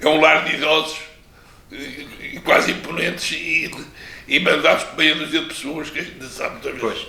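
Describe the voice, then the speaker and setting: A man with an Azorean accent over noticeable background noise. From Pico island, Azores, Portugal. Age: 80s+. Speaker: retired teacher and former local politician. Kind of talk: interview answer.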